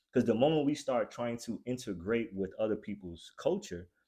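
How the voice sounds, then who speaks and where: A man's dark, mellow voice at a moderate pace, on a very clean recording with a silent background. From US. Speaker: podcast host. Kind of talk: casual chat.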